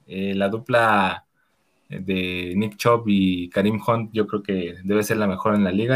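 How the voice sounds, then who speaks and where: The recording of this man is very clean, with a silent background. His voice sits fairly low. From Mexico, northern State of Mexico. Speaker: guest, team fan. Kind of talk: casual sports chat.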